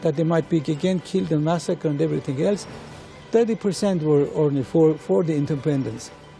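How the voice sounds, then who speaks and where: Music plays in the background as a man speaks very fast at a fairly high pitch. His pitch varies in an ordinary way and his loudness stays very even. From Iran. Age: 70s. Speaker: orchestra conductor and composer. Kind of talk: interview. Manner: halting.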